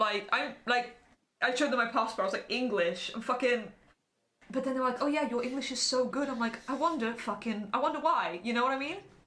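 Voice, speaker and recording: In an English accent, a woman talks at a fairly quick pace in an animated tone, her high pitch showing ordinary variation amid audible room echo. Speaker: podcaster. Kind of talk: casual chat.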